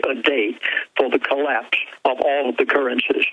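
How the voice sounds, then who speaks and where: Talking at a moderate pace is heard with noticeable background noise behind it. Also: man. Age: 70s. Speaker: pastor. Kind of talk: radio interview.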